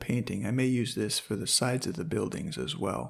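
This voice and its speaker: There is vocal fry in this man's voice. He speaks at a fairly quick pace. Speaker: hobby painter and angler, channel owner. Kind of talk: painting tutorial narration.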